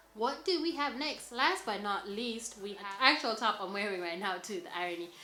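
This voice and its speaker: A woman's fairly high, enthusiastic voice with lively intonation at a moderate pace, amid noticeable background noise and audible room echo. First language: not English. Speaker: fashion vlogger. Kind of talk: styling tutorial. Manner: casual, filler-heavy (lots of 'like').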